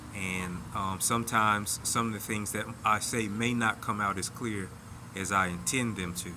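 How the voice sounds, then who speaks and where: Amid noticeable background noise and audible room echo, a man speaks at a fairly low pitch with fairly even intonation. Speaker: vlogger sharing personal reflections. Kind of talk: casual monologue. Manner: slow at times; halting, repeated words.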